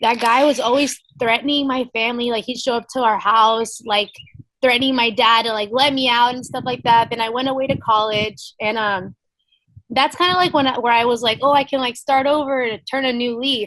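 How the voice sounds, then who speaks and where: With an American accent, a high-pitched woman speaks fairly quickly and with fairly even intonation. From Texas, Ingleside. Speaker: MMA fighter. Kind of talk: interview testimony.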